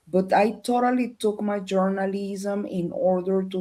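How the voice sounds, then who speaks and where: Speaking in a Spanish accent, a woman talks at a fairly slow pace with a dark, mellow tone and medium pitch. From Colombia. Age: 50s. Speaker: researcher and former journalist. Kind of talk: interview. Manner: halting.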